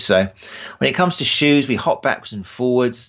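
At a moderate speed, the man talks in a British accent. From England. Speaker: running form specialist and podcaster. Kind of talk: casual interview conversation.

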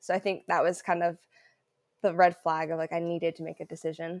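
A woman speaks in a normal speaking voice with an American accent, her pitch fairly low. Her intonation is fairly even, her pace moderate, and the recording is very clean with a silent background. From southern Oregon, US Pacific Northwest. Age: 20s. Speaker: runner. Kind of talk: interview.

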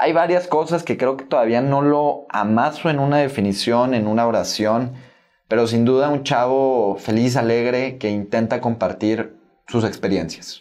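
A man speaks at a fairly slow pace in an ordinary speaking voice, medium in pitch, with ordinary pitch variation. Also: very even loudness. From Mexico (Tabasco, moved to Monterrey at 12). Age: 20s. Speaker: young entrepreneur and author. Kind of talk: casual interview.

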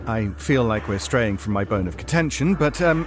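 Music plays in the background as a man speaks with a British accent. His fairly low voice swings very widely in pitch. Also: moderate pace. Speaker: podcast co-host reading an ad. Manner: theatrical, mock-indignant.

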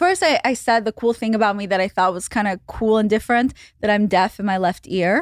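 A woman with an unremarkable speaking voice talks fairly quickly at a fairly high pitch, with ordinary pitch variation. The recording is very clean with a silent background, dry and close with no echo. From Russia and Israel, moved to Los Angeles as a teen. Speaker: podcaster and internet personality. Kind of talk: casual chat.

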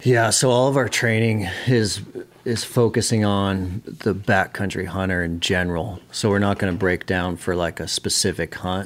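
A man with an American accent speaks at a moderate pace in a normal speaking voice, his fairly low pitch showing ordinary variation. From Montana, US (Billings). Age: 30s. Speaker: fitness trainer for backcountry hunters. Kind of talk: casual interview chat. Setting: studio.

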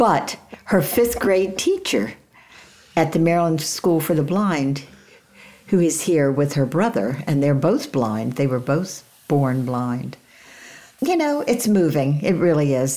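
The speech is fairly slow, with lively intonation, very even loudness and long, frequent pauses against noticeable background noise. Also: woman. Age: 80s+. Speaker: author. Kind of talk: casual chat.

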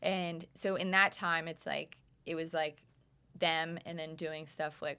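A woman speaks with a fairly low pitch and a bright, sharp tone. Her intonation is fairly even, and the recording is very clean with a silent background. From Canada, Calgary. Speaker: music producer. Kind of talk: casual chat. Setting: studio.

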